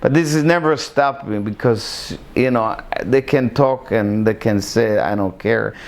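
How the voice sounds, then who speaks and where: A man with a medium-pitched voice and ordinary pitch variation speaks fairly slowly. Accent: Israeli. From Israel, Iraqi family. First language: Hebrew. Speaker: interviewee in documentary. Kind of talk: personal life story interview. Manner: halting, many fillers.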